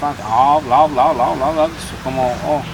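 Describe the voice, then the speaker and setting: A man with a Spanish accent speaks at a fairly high pitch and fairly slow pace, with audible room echo and noticeable background noise. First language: Spanish (speaking French). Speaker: immigrant French learner. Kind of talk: casual chat. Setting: outdoors at a campsite. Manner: halting, with many restarts and repetitions.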